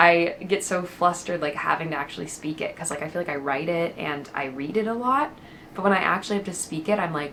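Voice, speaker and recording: A woman with an American accent talks very fast at a fairly low pitch over noticeable background noise. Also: ordinary pitch variation. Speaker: lifestyle vlogger. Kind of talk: chatty vlog. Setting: at home. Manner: casual, filler-heavy.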